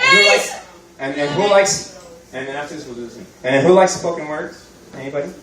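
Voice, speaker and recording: A man with an American accent talks very fast in a fairly high voice, with ordinary pitch variation, big swings in loudness, long frequent pauses and noticeable background noise. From Miami, Florida. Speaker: stand-up comedian. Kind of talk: live stand-up comedy set. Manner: casual, conversational, jokey.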